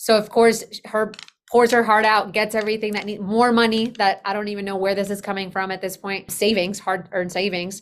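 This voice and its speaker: Monotone, flat intonation marks this woman's fairly quick delivery at a medium pitch. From Colombia, moved to US at age eight. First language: Spanish. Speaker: business operations consultant. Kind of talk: podcast interview.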